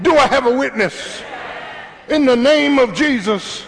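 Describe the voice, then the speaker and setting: Through noticeable background noise, a man with an extremely high pitch talks at a fairly slow pace, animated in tone with lively intonation. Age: 60s. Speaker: pastor. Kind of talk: sermon. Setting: church.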